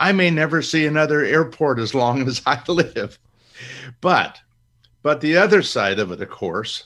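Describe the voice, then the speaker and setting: A man speaks at a fairly high pitch with a bright, sharp tone, vocal fry and lively intonation. The recording is very clean, with a silent background. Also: moderate pace. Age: 70s. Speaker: author and investment educator. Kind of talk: interview.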